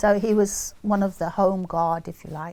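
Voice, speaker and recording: The speaker has an English Midlands accent. The intonation is monotone and flat. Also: woman. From England, Leicester. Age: 80s+. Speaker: interviewee recalling wartime childhood. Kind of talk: oral history interview.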